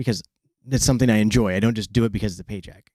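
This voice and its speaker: Fairly even intonation marks this voice with an American accent, heard in a very clean recording against a silent background. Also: man. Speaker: record producer and sound engineer. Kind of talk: casual interview. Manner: halting, with stammers and restarts.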